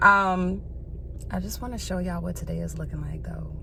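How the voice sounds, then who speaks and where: Audible room echo and noticeable background noise both come through as a woman talks. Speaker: vlogger. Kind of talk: casual vlog talk. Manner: casual, filler-heavy.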